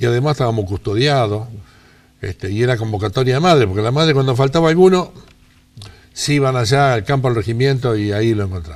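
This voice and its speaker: Lively intonation marks a man's very fast speech at a medium pitch. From Rosario, Argentina. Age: 80s+. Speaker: interviewee. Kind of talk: life-story interview.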